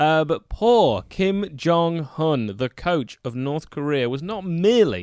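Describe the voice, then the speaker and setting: A man with an English accent speaks against a quiet background, his pitch swinging very widely. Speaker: football podcast co-host. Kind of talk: casual chat. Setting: studio.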